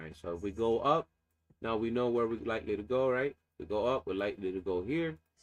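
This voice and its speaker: Speaking at a very fast pace, a man keeps to a medium pitch. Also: lively intonation. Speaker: day trader streamer. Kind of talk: live market analysis. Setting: live stream. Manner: casual with fillers.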